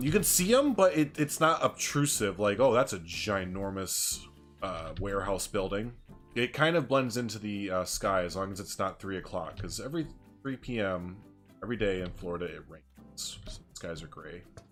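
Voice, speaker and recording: Against music in the background, a man with a fairly low pitch speaks with lively intonation and big swings in loudness. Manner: fast talker when excited.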